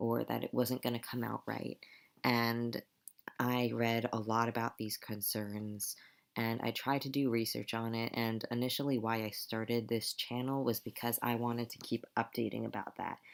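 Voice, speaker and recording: In a quiet, monotone voice with flat intonation, a man speaks at a medium pitch on a very clean recording with a silent background. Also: moderate pace. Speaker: transgender vlogger and music student. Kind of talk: casual vlog. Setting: at home at night.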